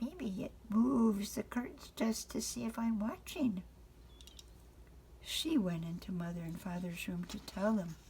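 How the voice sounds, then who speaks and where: A woman with an ordinary speaking voice at a medium pitch talks at a fairly slow pace with lively intonation. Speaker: grandmother reading to grandchildren. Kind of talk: children's bedtime story reading.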